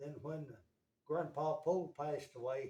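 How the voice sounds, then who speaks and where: This voice has a dark, mellow tone with some breathiness. It speaks with an Appalachian accent. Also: man. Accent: Appalachian US Southern. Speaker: interviewee, family elder. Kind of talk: casual interview.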